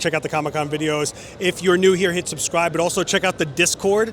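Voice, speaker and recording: A man speaking at a very fast pace and high pitch, with fairly even intonation, over noticeable background noise. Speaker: photography youtuber. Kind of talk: vlog outro.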